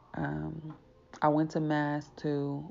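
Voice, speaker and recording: The intonation is monotone and flat. It belongs to a woman. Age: 30s. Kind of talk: testimony. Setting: solo podcast recording.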